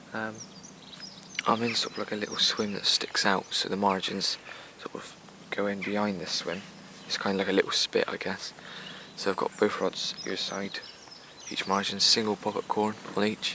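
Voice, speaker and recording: Soft-spoken and monotone, a man with an English accent and a fairly low pitch keeps a moderate pace with long, frequent pauses over noticeable background noise. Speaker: fishing vlogger. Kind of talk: casual vlog narration. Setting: outdoors by a lake. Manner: quiet, soft-spoken; hesitant, many fillers.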